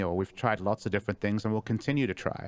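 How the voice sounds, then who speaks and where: In an ordinary speaking voice, a man talks at a fairly low pitch against a quiet background. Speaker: esports team coach or analyst guest. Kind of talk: casual chat. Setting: live stream.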